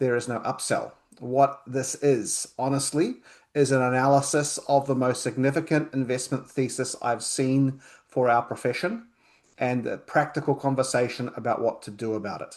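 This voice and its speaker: A man's medium-pitched voice with a New Zealand accent, moderate pace and fairly even intonation, against a quiet background. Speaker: accountant. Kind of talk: webinar presentation.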